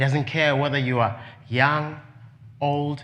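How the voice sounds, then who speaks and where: In a room with audible echo, a man with a non-native accent speaks fairly slowly in a fairly high voice with fairly even intonation. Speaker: preacher. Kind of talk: sermon.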